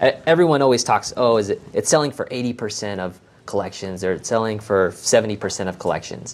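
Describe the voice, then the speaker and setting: A man with a plain, everyday voice and an American accent talks fairly quickly in a medium pitch with lively intonation. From Las Vegas, Nevada. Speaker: accountant. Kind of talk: interview podcast.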